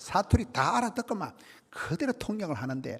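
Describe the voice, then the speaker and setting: Animated in tone, a man speaks at a fairly quick pace with vocal fry. His pitch swings very widely. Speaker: revival preacher. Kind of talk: sermon. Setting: church.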